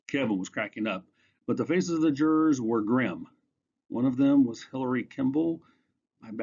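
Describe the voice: With a quiet background behind it, the plain reading aloud carries lively intonation.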